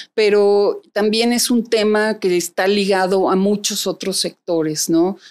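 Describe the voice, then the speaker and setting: A woman with a central Mexican accent speaks at a fairly slow pace in very even loudness. Her intonation is fairly even, and the background is quiet. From Mexico City. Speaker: private security executive; interview guest. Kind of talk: interview. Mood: calm, reflective. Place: studio. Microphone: studio mic.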